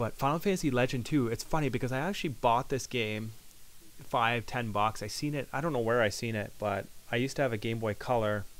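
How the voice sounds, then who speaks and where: This man's voice sits at a medium pitch with ordinary variation. He speaks at a very fast pace. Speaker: gaming video creator. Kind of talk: casual gameplay commentary. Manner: stuttering at times.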